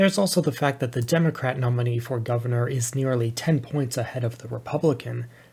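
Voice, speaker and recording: A somewhat breathy man at medium pitch, very fast with hardly any pauses and ordinary pitch variation, on a very clean recording with a silent background. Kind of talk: political analysis commentary.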